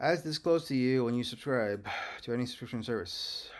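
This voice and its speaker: A man with a non-native accent, at a moderate pace. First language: not English. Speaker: legal self-litigant. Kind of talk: casual screen-share commentary. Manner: hesitant, many fillers.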